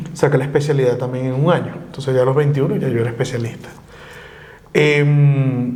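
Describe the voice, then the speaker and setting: Speaking fairly quickly with a slight Maracaibo accent, a man of medium pitch keeps fairly even intonation over noticeable background noise and audible room echo. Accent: slight Maracaibo (maracucho) touch. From Venezuela, Valencia (Carabobo). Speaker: lawyer, exile. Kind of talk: interview conversation.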